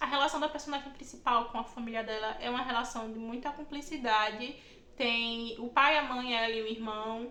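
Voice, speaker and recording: There is noticeable background noise and audible room echo. A woman speaks at a moderate pace with a fairly high pitch. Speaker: book YouTuber. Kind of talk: casual vlog monologue. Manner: animated.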